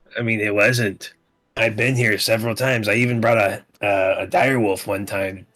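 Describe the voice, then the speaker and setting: A man puts on a raspy character voice at a medium pitch, keeping a moderate pace and fairly even intonation. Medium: actual play. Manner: cocky, taunting.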